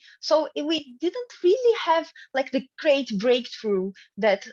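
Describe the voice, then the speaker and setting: A woman with a Portuguese accent speaks at a fairly slow pace, her voice dry and close with no echo against a quiet background. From Brazil. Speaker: academic researcher. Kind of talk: conference presentation. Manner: halting, many fillers.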